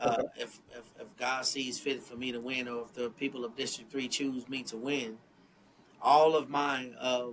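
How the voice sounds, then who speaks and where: A man talks at a fairly slow pace with a medium pitch and a monotone, flat delivery. Noticeable background noise runs behind him. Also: big swings in loudness. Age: 50s. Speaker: political candidate. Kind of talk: interview.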